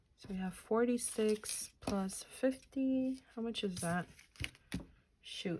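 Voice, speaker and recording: A woman speaks at a very slow pace with a medium pitch and ordinary pitch variation. Her dark, mellow tone is somewhat breathy. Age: 30s. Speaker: budgeting YouTuber. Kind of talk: casual vlog tutorial. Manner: casual, chatty; counting aloud.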